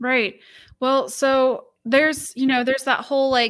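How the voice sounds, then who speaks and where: With a Midwestern American accent, a woman speaks at a high pitch in a very clean recording with a silent background. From northwestern Ohio (Lima). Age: young. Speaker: political party staff member. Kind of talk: interview.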